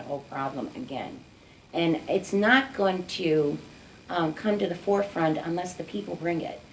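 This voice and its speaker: A woman with an American accent uses lively intonation at a fairly low pitch. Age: 60s. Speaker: community activist, mother of gun violence victim. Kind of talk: interview.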